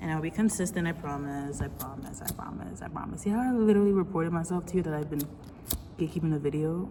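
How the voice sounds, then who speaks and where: Over noticeable background noise, a woman with a fairly low pitch talks at a very fast pace. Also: ordinary pitch variation. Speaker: vlogger. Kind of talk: casual confessional monologue. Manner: rambling, halting.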